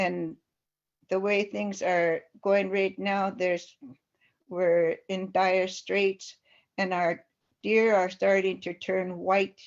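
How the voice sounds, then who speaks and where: Very slow and broken by long, frequent pauses, a woman speaks at a medium pitch with monotone, flat intonation. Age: 70s. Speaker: community elder. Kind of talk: webinar testimony. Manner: halting.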